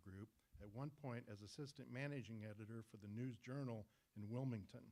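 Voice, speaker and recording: A man at medium pitch and a fairly quick pace, with ordinary pitch variation. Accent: Midwestern US. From north central Kansas. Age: 60s. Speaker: awards presenter. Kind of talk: award ceremony speech.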